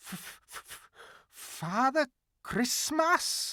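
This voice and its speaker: A put-on character voice at a high pitch. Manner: stammering, frightened.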